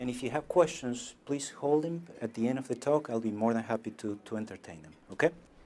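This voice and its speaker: Speaking fairly quickly with hardly any pauses, a man with a non-native accent has a medium-pitched voice and a dark, mellow tone. His loudness swings widely. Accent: foreign accent, noticeable. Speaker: medical doctor. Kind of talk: lecture. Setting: stage with audience. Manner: halting, repeats words.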